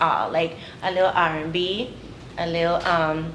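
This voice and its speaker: Fairly low pitch and fairly even intonation from a woman, with audible room echo and noticeable background noise. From US Virgin Islands, partly raised in Texas and North Carolina. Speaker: soca and reggae singer. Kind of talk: interview. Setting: museum, video interview. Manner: casual, hesitant with fillers.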